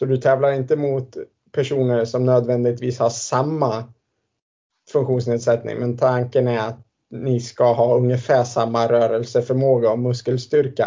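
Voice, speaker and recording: A man at a medium pitch and moderate pace, with monotone, flat intonation. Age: 30s. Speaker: former Paralympic swimmer. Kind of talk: interview. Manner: halting.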